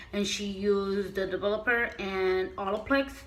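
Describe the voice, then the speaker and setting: Audible room echo surrounds a woman speaking at a very slow pace with a medium pitch. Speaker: beauty vlogger. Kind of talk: casual vlog tutorial. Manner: halting, with fillers.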